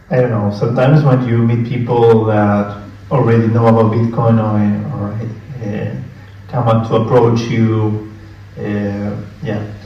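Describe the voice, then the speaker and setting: In a Spanish accent, the speaker goes at a fairly slow pace with monotone, flat intonation and long, frequent pauses, amid noticeable background noise and audible room echo. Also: man, medium pitch for a man. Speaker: conference presenter. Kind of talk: conference talk with audience Q&A. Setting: conference room with live audience. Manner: hesitant, many fillers.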